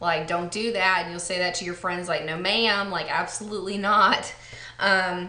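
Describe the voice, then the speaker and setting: A woman speaks with an American accent in a monotone, flat delivery. Room echo is audible. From Texas. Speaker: beauty vlogger. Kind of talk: casual vlog chat. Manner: relaxed, many fillers.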